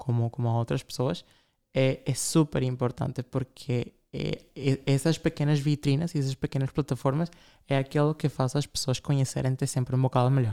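Speaking at a moderate pace with fairly even intonation, a man of medium pitch has a dark, mellow tone, captured in a very clean, dry, close recording with no echo and a silent background. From Latin America. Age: 20s. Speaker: fashion designer. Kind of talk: interview.

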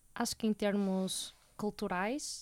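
A woman speaks in a very clean recording against a silent background. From Portugal, Porto. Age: 20s. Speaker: university student. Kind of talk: interview.

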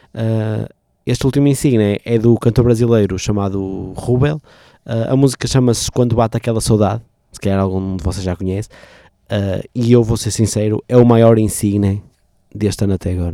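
In a very clean recording with a silent background, a man's dark, mellow voice sits at a fairly low pitch with ordinary pitch variation, the sound dry and close with no echo. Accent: European Portuguese. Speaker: radio host. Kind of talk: casual radio show presenting. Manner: hesitant, many fillers; playful, animated.

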